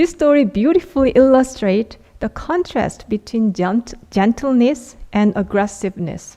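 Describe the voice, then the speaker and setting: Hardly pausing, a woman with an unremarkable speaking voice talks at a moderate pace with a fairly high pitch and lively intonation. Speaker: Won Buddhist minister giving a dharma talk. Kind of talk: dharma talk / sermon to a congregation.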